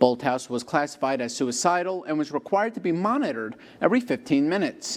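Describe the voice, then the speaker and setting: Fairly high male speech with very wide pitch swings, delivered at a fairly quick pace. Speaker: TV news anchor and reporter. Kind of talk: TV news anchor delivery. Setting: studio.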